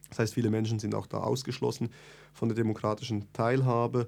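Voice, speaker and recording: A man is speaking. His tone is dark and mellow. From Switzerland, Bern. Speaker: activist. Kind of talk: interview. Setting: studio.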